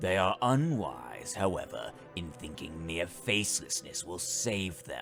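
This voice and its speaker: A man puts on a character voice with a very deep, low pitch and a menacing tone. Music plays clearly in the background. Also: fairly slow pace. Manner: menacing, haughty.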